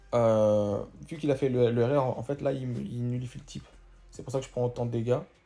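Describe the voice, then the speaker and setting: With music in the background, a man speaks at a medium pitch with fairly even intonation. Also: long, frequent pauses. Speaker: gaming youtuber. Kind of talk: gameplay commentary. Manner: fast.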